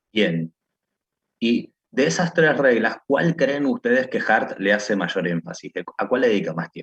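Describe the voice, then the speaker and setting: At a fairly slow pace, a man with a medium pitch and vocal fry moves through very wide pitch swings. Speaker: law/philosophy professor. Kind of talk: online lecture class.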